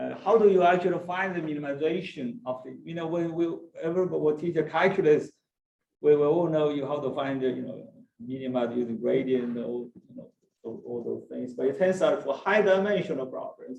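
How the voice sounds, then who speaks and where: Lively intonation in a Chinese accent, with big swings in loudness and a fairly quick pace. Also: man, fairly high pitch for a man. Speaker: mathematics professor. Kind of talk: lecture. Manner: halting, many fillers and restarts.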